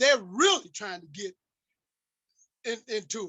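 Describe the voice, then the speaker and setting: A man speaks in a high pitch at a moderate pace. His tone is animated. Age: 60s. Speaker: community activist speaker. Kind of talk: impassioned lecture.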